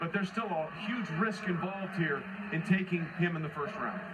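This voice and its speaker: A man's high-pitched voice at a fairly quick pace amid noticeable background noise. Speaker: TV sports host. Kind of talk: TV sports broadcast commentary.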